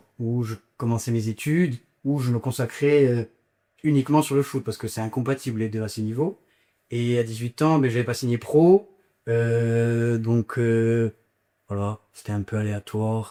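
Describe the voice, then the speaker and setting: With long, frequent pauses, a man of medium pitch and ordinary pitch variation is heard in a dry, close sound with no echo on a very clean recording with a silent background. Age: 20s. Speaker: business school student, former youth footballer. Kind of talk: interview testimony. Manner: hesitant, many fillers.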